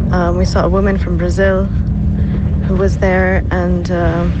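Noticeable background noise sits behind a woman. Her pitch is very deep and low, with lively intonation. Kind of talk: recorded field report interview. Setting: voice notes recorded in the field in Turkey.

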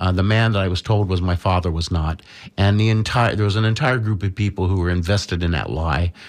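A man with a fairly low pitch speaks at a very fast pace, using ordinary pitch variation. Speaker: studio guest and political commentator. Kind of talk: casual talk radio discussion. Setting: radio studio. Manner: hesitant, many filler words.

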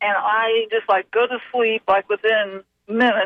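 A woman uses a normal speaking voice, pitched fairly high, at a moderate pace and with fairly even intonation. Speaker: caller. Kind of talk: call-in question. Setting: phone call.

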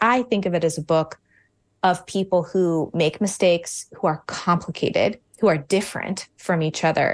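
A woman speaks in a Mid-Atlantic American accent. The background is quiet. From Virginia, suburbs of Washington DC. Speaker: novelist and high school English teacher. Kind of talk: radio interview.

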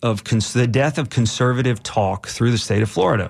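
A man with an unremarkable speaking voice talks at a moderate pace, with medium pitch and fairly even intonation. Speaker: radio host. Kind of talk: talk radio with callers. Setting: radio studio.

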